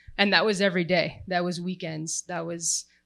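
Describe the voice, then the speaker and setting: A loud, animated woman's voice, bright and sharp in tone, at a fairly quick pace. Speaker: sports tech panelist. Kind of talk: panel discussion.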